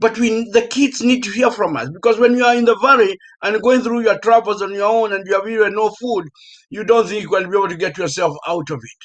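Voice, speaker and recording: The speaker has a Kenyan accent and a fairly quick pace. Pitch variation is ordinary, while loudness swings widely. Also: man. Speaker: professor. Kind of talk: panel discussion.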